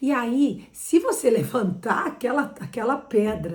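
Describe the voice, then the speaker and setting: A woman sounds animated, using lively intonation over noticeable background noise. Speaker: interior designer. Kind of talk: tutorial.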